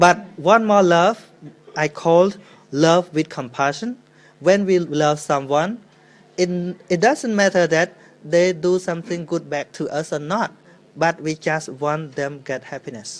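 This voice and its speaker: With a Khmer accent, a man speaks high and fairly slowly, with ordinary pitch variation. Long pauses come often. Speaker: Buddhist monk. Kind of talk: dharma talk Q&A. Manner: halting.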